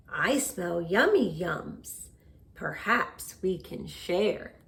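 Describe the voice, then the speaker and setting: Using a put-on character voice, a woman talks at a very slow pace with medium pitch. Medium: read story. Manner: warm, eager.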